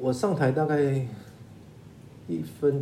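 A man speaks amid audible room echo. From Taiwan. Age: 50s. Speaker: lawyer. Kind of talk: interview. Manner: halting with repetitions.

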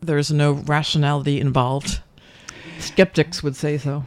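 A woman speaks in a New Jersey accent. The recording is very clean, with a silent background. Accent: New Jersey American. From US Northeast, New Jersey. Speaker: radio host. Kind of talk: interview. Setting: studio. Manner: animated.

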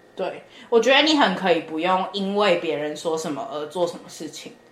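Her lively intonation and fairly low pitch carry at a moderate pace, with audible echo in the room around this woman. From Taiwan. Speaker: podcast co-host, student abroad. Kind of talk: casual chat.

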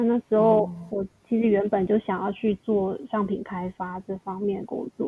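At a moderate pace, a woman talks with a medium pitch and a monotone, flat intonation. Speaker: salesperson. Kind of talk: casual interview.

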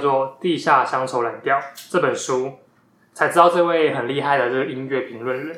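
A man's bright, sharp tone at a moderate pace, with audible room echo. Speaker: podcast host, bookstore worker. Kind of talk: book recommendation talk; casual chat. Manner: animated.

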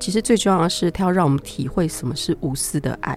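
The voice has an animated tone and a fairly quick pace. Music plays in the background. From Taiwan. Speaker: pet communicator. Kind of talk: interview.

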